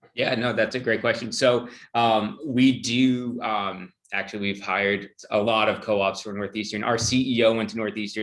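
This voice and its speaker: With a plain, everyday voice, a man talks at a moderate pace, his pitch fairly low and his intonation fairly even. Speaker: HR director. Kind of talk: Q&A on a video call.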